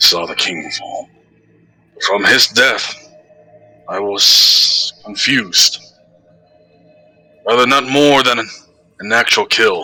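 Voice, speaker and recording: A man's put-on character voice at a fairly slow pace, broken by long, frequent pauses, with faint music in the background. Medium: actual play. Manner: blunt, halting.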